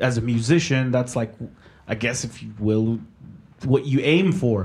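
This man has an unremarkable speaking voice of medium pitch with ordinary pitch variation, delivered at a fairly slow pace. The recording is very clean, with a silent background. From Mexico, raised in Oklahoma, US. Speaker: sound engineer. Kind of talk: casual interview chat.

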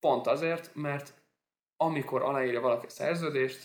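This man talks at a moderate pace. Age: 20s. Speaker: sports lawyer, podcast host. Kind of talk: casual interview.

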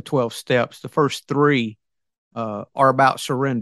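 With a Southern US accent, a man speaks at a moderate pace in a dry, close sound with no echo. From US South. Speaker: businessman and author. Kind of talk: casual interview chat. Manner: halting, filler-heavy.

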